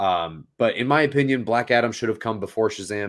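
A man with a normal speaking voice and a fairly low pitch talks at a fairly quick pace in a very clean recording with a silent background. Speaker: podcast co-host. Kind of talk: casual chat.

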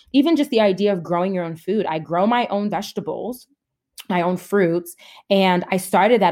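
In an American accent, a woman speaks at a moderate pace and medium pitch in an ordinary speaking voice, on a very clean recording with a silent background. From New Jersey, then upstate New York. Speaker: therapist. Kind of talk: interview conversation.

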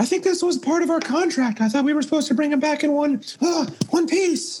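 Someone does a high-pitched put-on character voice at a fairly quick pace. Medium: actual play. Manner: practical, slightly exasperated.

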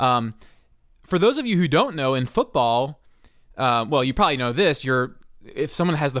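A plain, everyday voice from a man with an American accent, medium pitch, ordinary pitch variation, and a fairly quick pace, in a very clean recording with a silent background. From Philadelphia, US. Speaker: sports podcast host. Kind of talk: casual podcast chat.

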